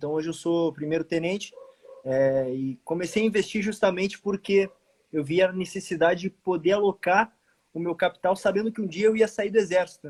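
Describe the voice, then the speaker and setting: A man speaks at a fairly quick pace with a high pitch. His pitch varies in an ordinary way, and the sound is dry and close with no echo. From southern Brazil, Rio Grande do Sul. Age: 20s. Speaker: army officer and investment page owner. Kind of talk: casual livestream conversation. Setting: live stream video call.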